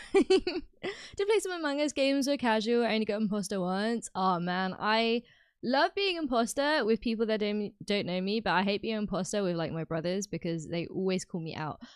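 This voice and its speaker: Speaking with a British accent, a woman keeps a moderate pace with hardly any pauses. Her pitch is fairly high and her intonation lively. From UK. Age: 20s. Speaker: gaming streamer. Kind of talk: casual chat. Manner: chatty.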